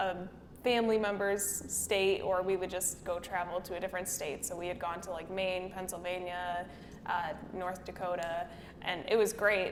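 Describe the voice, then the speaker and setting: A woman's medium-pitched voice with an American accent, flat and monotone, at a moderate pace, amid noticeable background noise and audible room echo. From US Midwest. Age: 20s. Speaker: makeup artist and business owner. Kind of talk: podcast interview.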